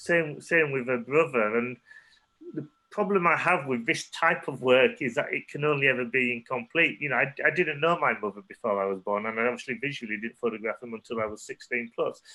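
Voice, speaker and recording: A man with a Yorkshire accent, medium-pitched, fairly quick, with lively intonation. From northern England, Leeds. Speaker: photographer. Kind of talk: artist talk Q&A. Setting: online talk.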